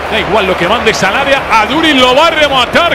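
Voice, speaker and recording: An excited, animated tone over noticeable background noise. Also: man. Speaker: football commentator. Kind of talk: live football commentary. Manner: fast, excited, animated play-by-play delivery; rapid-fire, clipped short phrases.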